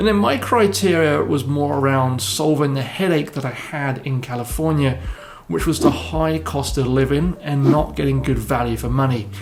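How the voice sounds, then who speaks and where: A man with an English accent talks at a moderate pace. Noticeable background noise and audible room echo fill the recording. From southern England. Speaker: real estate broker. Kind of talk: personal story video.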